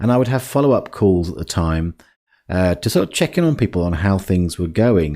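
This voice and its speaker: A dark, mellow tone with lively intonation at a fairly quick pace, on a very clean recording with a silent background. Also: man, very deep, low pitch for a man. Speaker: life coach podcast host. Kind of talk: podcast monologue. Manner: halting, with fillers.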